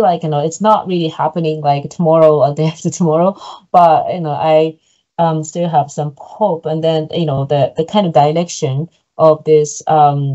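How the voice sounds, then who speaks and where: Speech at a moderate pace with a Japanese accent. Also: woman. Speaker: PhD researcher presenting research. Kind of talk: academic seminar Q&A answer. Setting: online seminar video call. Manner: halting, many fillers.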